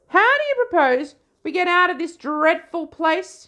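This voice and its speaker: A woman speaks in a put-on character voice that is squeaky and extremely high pitched. Her intonation is lively and her pace is moderate. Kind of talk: posh upper-class. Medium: read story. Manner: prim, fussy.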